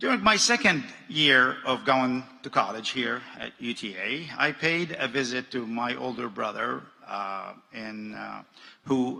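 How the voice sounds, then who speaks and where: A man with an Arabic accent speaks at a fairly slow pace. Noticeable background noise can be heard. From Jordan. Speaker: businessman. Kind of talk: commencement speech.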